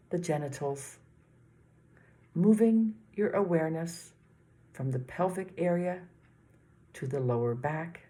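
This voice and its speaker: A dark, mellow tone, somewhat breathy, with lively intonation, a fairly slow pace and long, frequent pauses. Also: woman, fairly low pitch for a woman. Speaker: meditation teacher. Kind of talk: guided body scan meditation. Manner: gentle.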